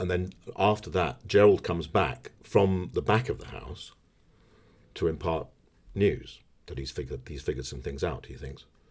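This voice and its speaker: In a southern English accent, a man speaks at a very deep, low pitch with vocal fry and lively intonation. He keeps a moderate pace with long, frequent pauses and big swings in loudness. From southern England, Berkshire. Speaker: actor. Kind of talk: casual chat.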